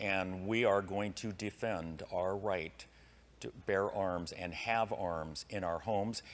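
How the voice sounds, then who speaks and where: In a General American accent, a man speaks at a very slow pace. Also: fairly low pitch for a man, fairly even intonation. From US West. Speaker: political candidate. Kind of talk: debate.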